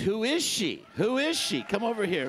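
A man speaks with a Canadian accent. His pace is very slow. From Canada. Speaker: pastor. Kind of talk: conference talk. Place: church. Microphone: handheld.

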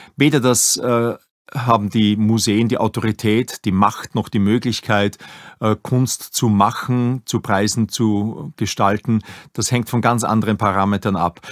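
In a very clean recording with a silent background and a dry, close sound with no echo, a man of medium pitch speaks in an unremarkable speaking voice at a fairly slow pace, with fairly even intonation and very even loudness. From Upper Austria, Linz. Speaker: museum director. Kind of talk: interview.

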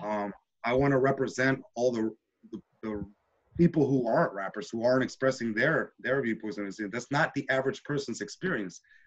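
Over a quiet background, the voice moves with ordinary pitch variation. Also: man, fairly quick pace. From Washington D.C. area, born in Nicaragua. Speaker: hip-hop and spoken word poet, teacher. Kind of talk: interview answer. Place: home room. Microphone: video call.

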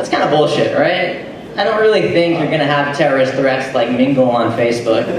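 A man with lively intonation, audible room echo and noticeable background noise. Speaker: stand-up comedian. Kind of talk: stand-up comedy set, crowd banter and jokes. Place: bar. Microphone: camera far.

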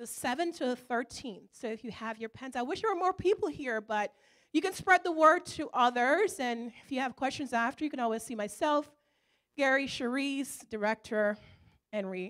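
Her voice sits high for a woman, with lively intonation and big swings in loudness. She speaks at a moderate pace against a quiet background. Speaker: church trip organizer. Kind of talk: church announcement presentation. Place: church. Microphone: handheld.

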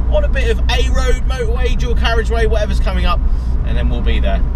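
The speaker is a man, recorded with a dry sound and no echo. Loud background noise is present. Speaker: car vlogger. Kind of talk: casual vlog chat. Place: car. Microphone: camera far.

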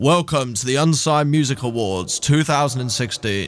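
Putting on a booming character voice, a man speaks at a medium pitch and a fairly slow pace. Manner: booming, epic.

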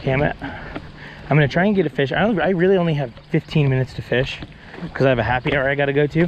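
With an American accent and a fairly high pitch, a man talks at a very fast pace broken by long, frequent pauses, with ordinary pitch variation, light background noise, and a dry sound with no echo. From California (Bakersfield); California. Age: 20s. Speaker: fly fishing guide and video creator; fly fishing guide, video creator. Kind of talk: casual vlog talk to camera. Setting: outdoors at ponds. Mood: mildly frustrated, hurried. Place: open country. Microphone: phone near.

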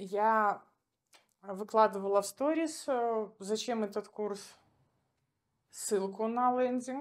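Against a quiet background, the speech goes very slowly, broken by long, frequent pauses. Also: woman, fairly high pitch for a woman, ordinary pitch variation. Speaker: gestalt therapist, former doctor; audience member. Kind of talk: audience question at a live talk. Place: hall. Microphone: handheld.

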